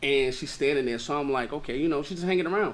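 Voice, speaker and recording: A man speaks with a New York accent. His tone is animated. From Brooklyn, New York (Brownsville). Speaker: author and content creator. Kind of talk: casual interview chat.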